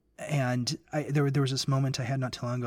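On a very clean recording with a silent background, a man speaks at a fairly quick pace. He has an unremarkable speaking voice at a medium pitch. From US South, Memphis, Tennessee. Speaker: guest co-host on a faith podcast. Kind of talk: casual religious discussion.

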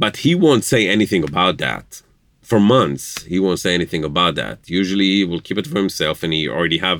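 A man with an Israeli accent speaks at a fairly quick pace in a very deep, low voice. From Israel, Jerusalem. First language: Hebrew. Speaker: interviewee, spouse of host. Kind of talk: casual interview. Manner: hesitant, with filler words.

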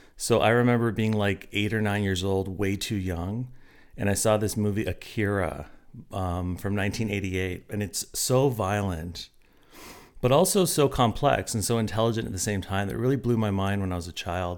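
This unremarkable speaking voice keeps a moderate pace and ordinary pitch variation. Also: man, fairly low pitch for a man. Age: 40s. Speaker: college instructor and novelist. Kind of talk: casual interview.

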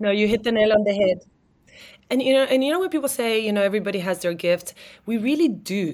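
Very fast and lively in intonation, a woman speaks at a fairly high pitch. The recording is very clean, with a silent background. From Argentina, moved to South Africa at twelve. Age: 40s. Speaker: entrepreneur. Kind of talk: interview.

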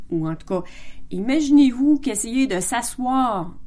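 Lively intonation marks a woman's fairly slow speech in a Quebec accent. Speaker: podcast host. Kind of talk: casual monologue. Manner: halting.

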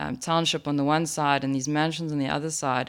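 A woman's very deep, low-pitched voice at a moderate pace, in a very clean recording with a silent background. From South Africa. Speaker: entrepreneur. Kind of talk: interview.

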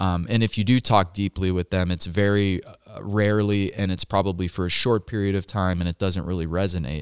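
Hardly any pauses break the speech, recorded very cleanly against a silent background with a dry, close sound and no echo. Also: man, very deep, low pitch for a man, fairly quick pace. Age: 30s. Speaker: podcast co-host, Marine veteran. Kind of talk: casual chat. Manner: animated.

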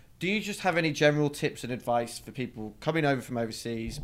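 A man with a British accent at a very fast pace, with ordinary pitch variation. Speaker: podcast host, recruiter. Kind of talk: casual interview.

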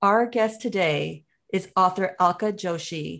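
A woman's unremarkable speaking voice at medium pitch, fairly slow in pace, with ordinary pitch variation. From United States, child of immigrants. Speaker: podcast co-host. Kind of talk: podcast interview; scripted show intro.

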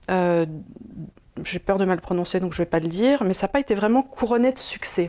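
Despite long, frequent pauses, the speaker moves at a fairly quick pace, with lively intonation and a dark, mellow tone. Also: woman, medium pitch for a woman. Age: 50s. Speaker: video host. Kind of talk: casual explanatory chat. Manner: hesitant, many fillers.

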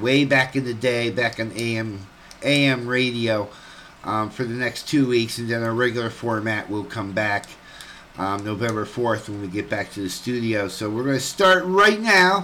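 A man's voice over noticeable background noise. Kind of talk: casual radio host banter and announcements. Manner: relaxed, chatty, cheerful.

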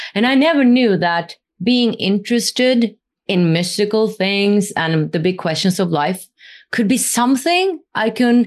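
Over a quiet background, a woman with a Norwegian accent speaks at a medium pitch and fairly slow pace, her intonation lively and her loudness very even. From Norway. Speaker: spiritual interviewer and former musical theater artist. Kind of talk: casual interview.

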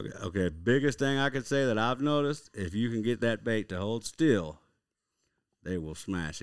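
A medium-pitched man's voice with an Oklahoma accent and lively intonation. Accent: Oklahoma Southern drawl. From Oklahoma (Lawton, southwest). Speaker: fishing guide. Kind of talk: casual interview.

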